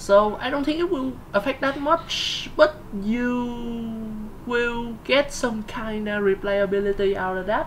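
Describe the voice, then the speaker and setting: A woman speaks very slowly at a fairly high pitch, in a Vietnamese accent with ordinary pitch variation. Noticeable background noise can be heard. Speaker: gaming video host. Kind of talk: casual discussion. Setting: live stream. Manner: halting, many fillers and repeats.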